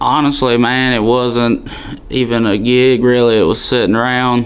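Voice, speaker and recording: A man with a strong Alabama accent speaks at a medium pitch in a monotone, flat intonation and very even loudness, with noticeable background noise and audible room echo. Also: moderate pace. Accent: Southern (Alabama), strong. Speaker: country singer. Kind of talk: radio interview. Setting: studio.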